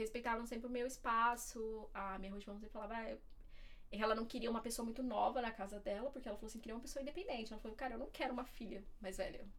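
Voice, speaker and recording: A woman's very fast, fairly high-pitched speech in a Paulista accent, fairly even in intonation, with audible room echo. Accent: Paulista Brazilian Portuguese. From Diadema, São Paulo, Brazil. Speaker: former au pair and student. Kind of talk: casual interview chat.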